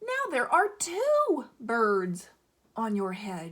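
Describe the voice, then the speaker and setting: A woman's put-on character voice, fairly high in pitch and very slow in pace. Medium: read story. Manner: calm, cheerful.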